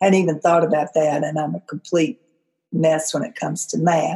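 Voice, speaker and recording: Here a woman talks with an American accent. Her tone is dark and mellow. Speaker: career coach, former school librarian. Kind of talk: podcast monologue.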